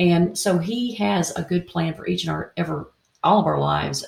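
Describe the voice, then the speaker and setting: A woman talks at a moderate pace. She has a slight Tennessee accent. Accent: Southern US, Tennessee, slight. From Indiana, US Midwest. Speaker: co-author, radio host and artist. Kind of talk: casual interview chat.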